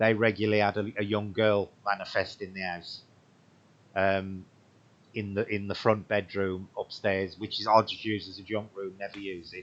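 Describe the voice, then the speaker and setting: Fairly low in pitch, a man speaks at a moderate pace with monotone, flat intonation and big swings in loudness. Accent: English Midlands. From English Midlands. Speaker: paranormal livestream host. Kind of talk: livestream chat. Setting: home livestream.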